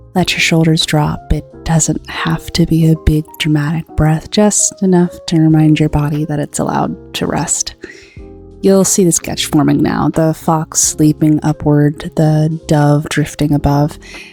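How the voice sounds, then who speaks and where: Over background music, a woman talks at a fairly slow pace in a very deep, low pitch with monotone, flat intonation. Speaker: digital artist and video creator. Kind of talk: comfort voiceover over art timelapse. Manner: calm, gentle, soothing.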